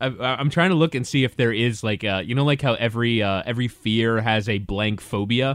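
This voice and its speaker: A man with an ordinary speaking voice talks at a medium pitch with ordinary pitch variation. His pace is fairly quick, with hardly any pauses. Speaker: podcast host. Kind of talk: casual banter, AMA.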